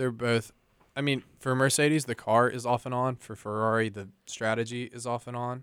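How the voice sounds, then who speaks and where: On a very clean recording with a silent background, a man in a normal speaking voice at medium pitch speaks at a moderate pace, his loudness swinging a lot. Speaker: college radio host. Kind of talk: radio DJ patter, playful banter. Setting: campus radio studio. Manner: deadpan, sarcastic.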